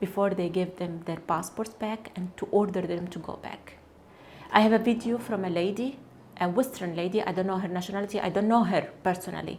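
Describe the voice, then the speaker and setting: In an Arabic accent, a woman talks at a fairly quick pace in a medium pitch with fairly even intonation, against noticeable background noise. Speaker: cancer researcher, activist. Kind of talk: testimony. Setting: studio. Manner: halting, with self-corrections.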